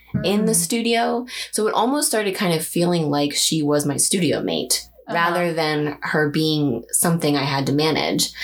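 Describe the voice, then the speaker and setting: Over noticeable background noise, a woman talks with lively intonation and very even loudness. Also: moderate pace. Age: 30s. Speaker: figurative artist. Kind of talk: casual interview.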